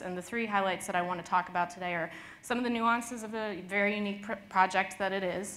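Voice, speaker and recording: With light background noise behind her, a woman speaks at a fairly quick pace and with fairly even intonation. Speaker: conference presenter. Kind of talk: presentation talk. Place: hall.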